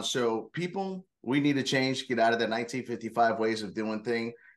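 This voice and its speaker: This man has an unremarkable speaking voice at a medium pitch. His pace is fairly quick and his pitch variation ordinary. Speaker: corporate security leader. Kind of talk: casual interview.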